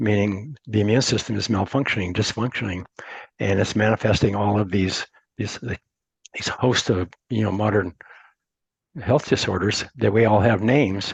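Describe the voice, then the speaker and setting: A man with an American accent speaks at a moderate pace and a fairly low pitch. His voice is somewhat breathy, and he takes long, frequent pauses. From Montana, US. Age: 70s. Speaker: entrepreneur. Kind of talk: interview. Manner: halting, many repeated words.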